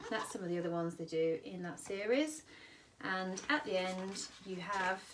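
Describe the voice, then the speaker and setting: A woman with a British accent at medium pitch, enthusiastic and lively in intonation, amid audible room echo and noticeable background noise. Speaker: children's book seller. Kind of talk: product demonstration. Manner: fast.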